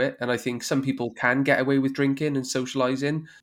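With a Welsh accent, a man speaks at a fairly quick pace on a very clean recording with a silent background. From Wales. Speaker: podcast host. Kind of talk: interview.

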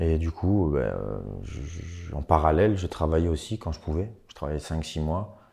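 Against a quiet background, a man with a very deep, low pitch speaks at a fairly slow pace in a dark, mellow, somewhat breathy tone, with ordinary pitch variation and big swings in loudness. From eastern France, Franche-Comté. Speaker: rapper. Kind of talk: interview.

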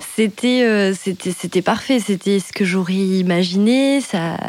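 A woman speaks in an unremarkable speaking voice. Her pitch is medium, with ordinary variation. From France, Dordogne (Périgueux). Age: 30s. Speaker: podcast guest sharing her life story. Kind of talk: personal storytelling in casual chat. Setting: recording at home over wine.

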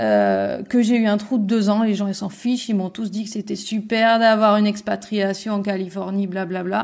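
Speaking at a fairly quick pace, a woman delivers her words in a monotone with flat intonation. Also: quiet background. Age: 30s. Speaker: returned expat interviewee. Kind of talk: casual interview chat.

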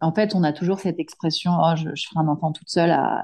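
Against a quiet background, a woman speaks at a fairly quick pace with a fairly low pitch and a dark, mellow tone. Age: 30s. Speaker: solo mother sharing her fertility journey. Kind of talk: testimony. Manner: halting, frequent repetitions and hesitations.

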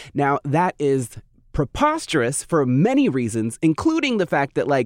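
He has an ordinary speaking voice, pitched fairly high for a man, with lively intonation. The sound is dry and close, with no echo. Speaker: podcast co-host discussing horror films. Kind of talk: casual chat.

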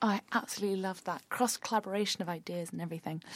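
A woman with a British accent at a fairly quick pace, in dry, close sound with no echo. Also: very clean recording, silent background. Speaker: podcast host. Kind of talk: interview with scripted intro.

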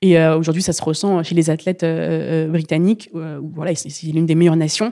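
A woman with a dark, mellow tone speaks at a very fast pace. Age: 20s. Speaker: Paralympic para-canoe athlete. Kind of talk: interview. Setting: training centre. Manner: halting, many repetitions and fillers.

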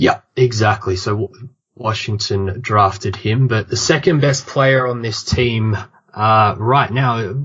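With an Australian accent, a man speaks at a very slow pace. His medium pitch shows ordinary variation. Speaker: basketball podcaster. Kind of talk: casual sports chat. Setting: remote call.

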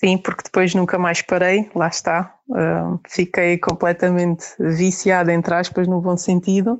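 A woman with a fairly low pitch speaks at a fairly slow pace with monotone, flat intonation. Her loudness stays very even, and she hardly pauses. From Portugal, with ten teenage years in Germany. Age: 30s. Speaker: pilgrim mother. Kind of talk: interview testimony.

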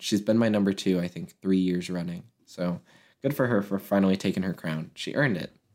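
An unremarkable speaking voice moves at a fairly quick pace with ordinary pitch variation. The recording is very clean with a silent background. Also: man. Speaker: podcast co-host. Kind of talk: casual chat.

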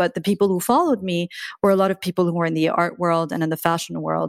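In a very clean recording with a silent background, a woman speaks in a fairly low pitch with a dry, close sound and no echo. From Iran-born, raised in southern France. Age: 40s. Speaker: art world professional. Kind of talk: interview conversation.

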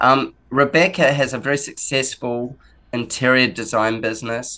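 A man with an Australian accent talks at a fairly slow pace in a fairly high pitch. His tone is bright and sharp, over a quiet background. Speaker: podcast host. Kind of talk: casual interview chat.

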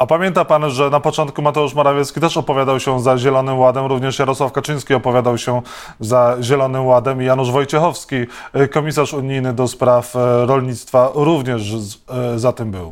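A man with a Polish accent speaks at a fairly quick pace. His pitch is medium and his intonation fairly even. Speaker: radio host. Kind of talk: interview.

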